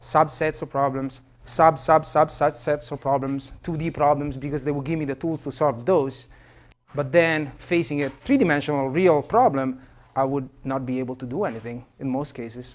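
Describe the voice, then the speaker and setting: Someone with an Italian accent talks at a moderate pace, with ordinary pitch variation. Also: man. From Italy. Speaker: professor. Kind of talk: lecture. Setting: classroom. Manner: halting, many fillers.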